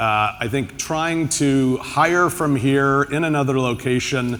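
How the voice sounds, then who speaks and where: A man with an American accent, fairly high pitch, ordinary pitch variation and a very slow pace. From United States. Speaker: tech executive, panelist. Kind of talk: panel discussion.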